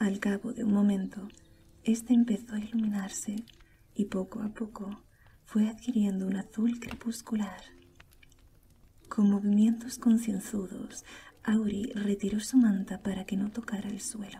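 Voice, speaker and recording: A soft-spoken woman whispers at a fairly slow pace, somewhat breathy. Her speech has long, frequent pauses. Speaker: audiobook narrator / ASMR creator. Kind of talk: soft-spoken audiobook reading for sleep. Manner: soft, whispered, relaxing.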